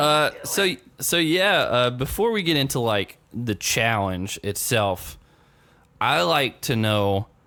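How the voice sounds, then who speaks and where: On a very clean recording with a silent background, a man with an American accent talks at a very slow pace and medium pitch. His pitch swings very widely while his loudness stays very even. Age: 20s. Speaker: podcast host. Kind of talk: interview. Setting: podcast.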